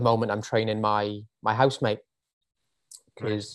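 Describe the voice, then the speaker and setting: With a Welsh accent, a man speaks at a medium pitch and a fairly quick pace in a monotone, flat intonation. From Wales. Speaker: personal trainer. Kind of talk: casual chat. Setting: video call.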